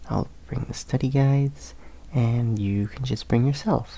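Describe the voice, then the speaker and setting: This man's voice has a dark, mellow, gentle tone and is somewhat breathy. His intonation is lively. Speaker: college student tutor in the roleplay. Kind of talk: ASMR roleplay, classmate helping you study. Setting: library study corner. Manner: soft, gentle, reassuring.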